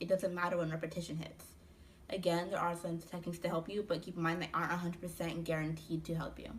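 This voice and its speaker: Her voice fairly low, a woman speaks somewhat breathily. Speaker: student speaker on stuttering. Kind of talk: presentation talk.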